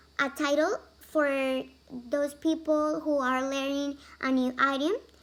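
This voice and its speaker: With a Spanish accent, the speaker goes at a fairly slow pace using fairly even intonation. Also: woman. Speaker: language student. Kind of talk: class presentation. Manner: halting, many fillers.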